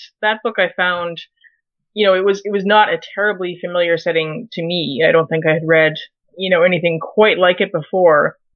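A plain, everyday voice from a woman with a Canadian accent, medium in pitch, at a moderate pace with fairly even intonation. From Canada, Winnipeg. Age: 30s. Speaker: journalist and fiction writer. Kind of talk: interview.

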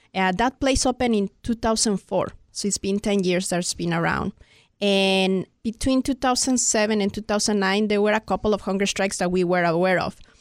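A woman with a Spanish accent speaks at a fairly quick pace, with very even loudness and fairly even intonation, in a dry, close sound with no echo. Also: medium pitch for a woman, very clean recording, silent background. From Mexico City, Mexico. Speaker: immigrant rights activist. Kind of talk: casual interview.

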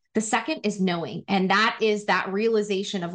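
A woman with an American accent uses an ordinary speaking voice at a medium pitch and a moderate pace, with fairly even intonation. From Wyoming, US. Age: 30s. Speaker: former marketing executive and women's career advocate. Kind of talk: interview conversation.

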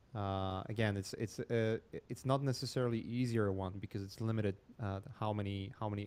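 At a moderate pace, a man with a Polish accent speaks in a fairly low, flat monotone. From Poland. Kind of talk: casual interview. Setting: live stream.

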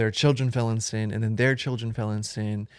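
Fairly low in pitch, a man with an American accent is heard on a very clean recording against a silent background. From Florida. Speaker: churchgoer, student. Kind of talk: casual interview about faith.

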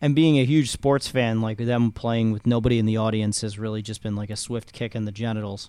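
A man speaks at a fairly quick pace in a dark, mellow tone, his intonation fairly even. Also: medium pitch for a man. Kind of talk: casual chat.

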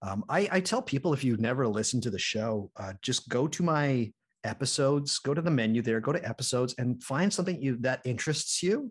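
The speech moves at a fairly quick pace with hardly any pauses. The voice is somewhat breathy, and the intonation is lively. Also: man, medium pitch for a man. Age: 30s. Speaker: podcast host guest. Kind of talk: casual chat.

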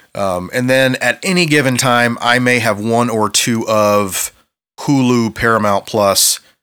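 A man with an American accent, an ordinary speaking voice at medium pitch, ordinary pitch variation and a fairly slow pace. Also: very clean recording, silent background. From Ohio, US Midwest. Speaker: podcast co-host, graphic designer. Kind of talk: scripted narration; casual chat.

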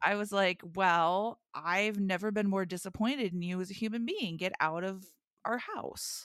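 This woman uses a plain, everyday voice at medium pitch, talking at a moderate pace with fairly even intonation. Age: 40s. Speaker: wrestling podcast co-host. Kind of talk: casual chat.

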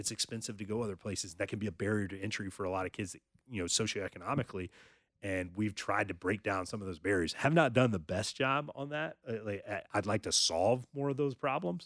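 A plain, everyday voice speaks fairly quickly with an American accent and ordinary pitch variation. The sound is dry and close with no echo, on a very clean recording with a silent background. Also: man. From North Carolina. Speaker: high school sports journalist and publisher. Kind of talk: casual interview chat.

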